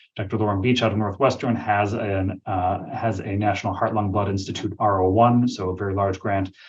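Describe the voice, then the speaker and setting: A man's fairly low, somewhat breathy voice, monotone and flat, at a fairly quick pace with hardly any pauses. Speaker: physician researcher. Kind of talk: webinar presentation and Q&A. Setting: virtual webinar. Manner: fast.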